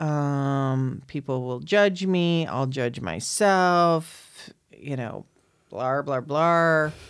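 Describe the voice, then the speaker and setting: A woman with a very deep, low pitch speaks at a very slow pace, using ordinary pitch variation. The recording is very clean, with a silent background. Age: 50s. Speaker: podcast host. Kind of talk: casual chat. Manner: loud.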